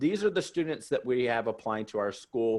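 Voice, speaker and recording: A man with an American accent talks at a fairly quick pace in an ordinary speaking voice, his pitch medium, against a quiet background. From US South. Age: 40s. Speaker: college admissions consultant. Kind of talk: webinar presentation. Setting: webinar.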